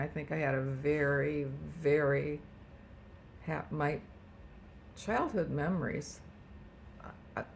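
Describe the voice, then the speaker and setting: With audible room echo, a woman speaks at a fairly slow pace in a very deep, low voice, her intonation flat and monotone, broken by long, frequent pauses. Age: 80s+. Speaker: retired home economics teacher. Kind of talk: family interview. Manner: halting.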